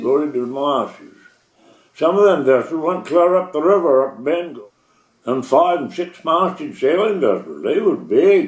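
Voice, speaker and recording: Very wide pitch swings in a coastal Maine accent. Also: man. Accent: Maine coastal New England. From Chebeague Island, Maine. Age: 80s+. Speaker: former seaman. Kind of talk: oral history interview answer.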